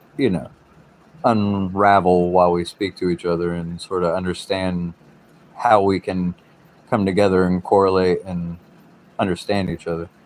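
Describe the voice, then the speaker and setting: With an American accent, a man speaks slowly-ish, at a fairly slow pace, in a very deep, low pitch and monotone, flat intonation. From US South, South Carolina coast. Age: 30s. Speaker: livestreamer. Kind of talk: casual livestream chat. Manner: talkative.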